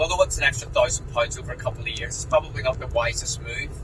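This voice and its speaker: Over noticeable background noise, a man talks in an English accent. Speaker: vlogger car owner. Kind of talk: casual vlog while driving. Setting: in a car. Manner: loud. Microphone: echoey inside car.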